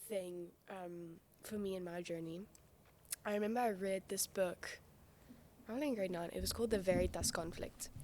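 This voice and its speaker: A woman speaks at a medium pitch and a moderate pace. She leaves long, frequent pauses. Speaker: podcast guest. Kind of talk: casual chat. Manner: loud.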